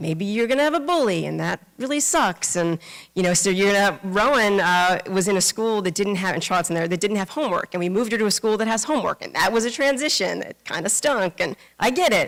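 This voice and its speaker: With a New York accent, a woman talks at a very fast pace in a medium pitch and lively intonation. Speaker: Buddhist minister. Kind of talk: dharma talk. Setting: temple service with congregation. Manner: casual, many fillers.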